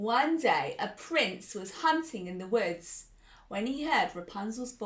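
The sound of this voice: Lively intonation shapes the reading in an unforced voice.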